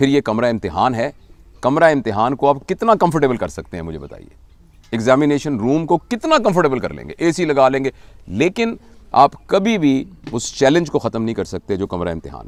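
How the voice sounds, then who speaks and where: A man speaks with vocal fry at a medium pitch and a moderate pace. His pitch swings very widely, and his loudness varies greatly. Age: 60s. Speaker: motivational speaker. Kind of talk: interview talk.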